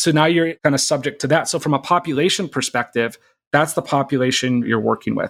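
A man with an American accent speaks at a very fast pace and a fairly high pitch, with ordinary pitch variation. The sound is dry and close with no echo, and the recording is very clean with a silent background. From US Midwest, Minnesota. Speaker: startup CEO. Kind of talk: casual interview chat.

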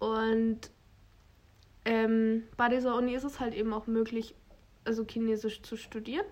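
Speaking at a fairly slow pace, a woman uses monotone, flat intonation with long, frequent pauses. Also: fairly high pitch for a woman. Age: 20s. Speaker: podcast co-host, university student. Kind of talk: casual chat.

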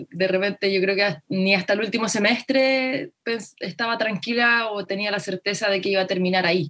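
The tone is bright and sharp, with ordinary pitch variation at a moderate pace. The sound is dry and close with no echo. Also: woman, medium pitch for a woman. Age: 20s. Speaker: footballer and activist. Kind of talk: interview.

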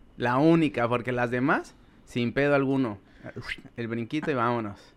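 A man speaks with a Mexico City accent. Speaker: podcast guest. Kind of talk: casual chat.

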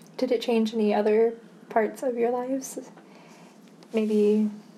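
A woman with a fairly high voice, a moderate pace, and an Upper Midwest accent. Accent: Upper Midwest American. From Michigan, US Midwest. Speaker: student interviewer. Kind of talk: oral history interview. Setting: at interviewee's home.

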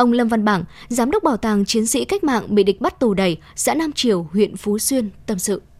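Using an unremarkable speaking voice, a woman talks at a moderate pace with fairly high pitch and lively intonation. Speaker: news reader. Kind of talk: news reading.

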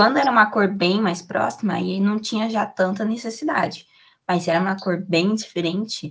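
A somewhat breathy woman's voice at medium pitch, with ordinary pitch variation and a moderate pace. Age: 20s. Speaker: content creator and podcast host. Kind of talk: casual interview chat.

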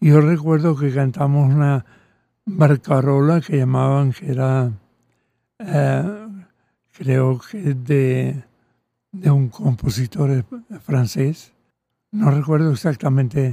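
A man speaks at a very slow pace, with long, frequent pauses. His fairly high voice has a dark, mellow tone. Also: ordinary pitch variation. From Venezuela (Caracas), raised from age 10; born in Catalonia, childhood in France. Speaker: composer and choral conductor. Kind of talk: interview. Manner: halting.

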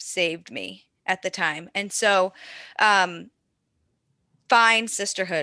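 A woman speaks very slowly at a medium pitch, her tone bright and sharp with vocal fry. Her intonation stays fairly even, and the recording is very clean with a silent background. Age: 30s. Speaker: army veteran and fitness coach. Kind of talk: casual interview chat. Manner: halting, many fillers.

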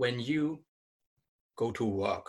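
The recording is very clean, with a silent background. A man speaks at a very slow pace in a medium pitch, somewhat breathy, with ordinary pitch variation. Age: 30s. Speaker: magazine founder. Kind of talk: interview.

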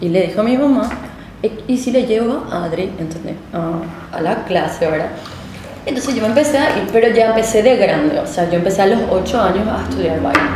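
Noticeable background noise and audible room echo surround the speech. The intonation is lively and the pace fairly quick. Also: woman, fairly high pitch for a woman. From Paraguay, Asunción and Villa Elisa. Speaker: dance teacher. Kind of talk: casual interview chat.

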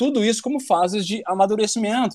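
A man's voice at a moderate pace. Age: 30s. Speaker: muay thai instructor. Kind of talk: casual chat.

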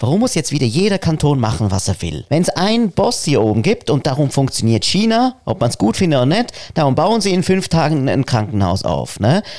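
His fairly high voice swings very widely in pitch as this man talks at a fairly quick pace. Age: 40s. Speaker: podcast co-host. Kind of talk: casual chat.

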